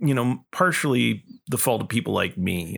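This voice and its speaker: A man speaks at a fairly slow pace with vocal fry. His medium-pitched voice swings very widely in pitch. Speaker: podcast co-host. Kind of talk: casual chat.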